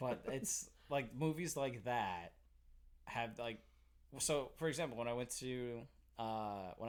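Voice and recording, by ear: A man's medium-pitched voice with a slight Boston accent, fairly slow, with long, frequent pauses and ordinary pitch variation. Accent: faint Boston.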